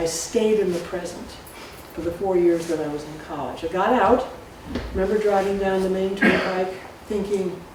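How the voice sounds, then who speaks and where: Over noticeable background noise and audible room echo, a woman of medium pitch speaks at a moderate pace. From US Northeast, Salisbury, Connecticut. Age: 70s. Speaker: storyteller. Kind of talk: personal storytelling to a live audience. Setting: stage with audience.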